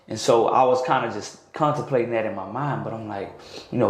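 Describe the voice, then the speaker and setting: Fairly quick speech from a man, fairly even in intonation, with audible room echo and noticeable background noise. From North Florida. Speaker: sports coach and teacher. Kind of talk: casual interview chat. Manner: loud.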